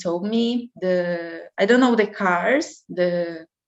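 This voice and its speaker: At a very slow pace, a woman with a Brazilian Portuguese accent speaks at a medium pitch, with ordinary pitch variation. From Brazil, Curitiba. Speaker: au pair applicant. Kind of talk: job interview. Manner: halting.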